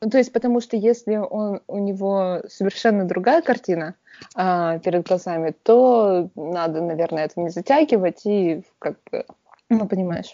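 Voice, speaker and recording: At a moderate pace, a woman speaks at a medium pitch with ordinary pitch variation, in an unremarkable speaking voice. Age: 30s. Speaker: podcast co-host. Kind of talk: casual chat. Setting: video call.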